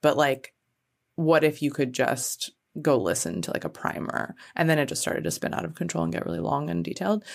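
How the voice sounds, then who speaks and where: A woman speaks with a very deep, low pitch and vocal fry. Her pitch swings very widely at a fairly quick pace. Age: 40s. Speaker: music podcast host. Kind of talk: casual interview chat. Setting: in person in the same room.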